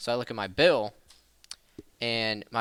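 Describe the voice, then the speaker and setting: A loud, animated voice at a moderate pace, on a very clean recording with a silent background. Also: man. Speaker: podcast co-host. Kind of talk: casual chat.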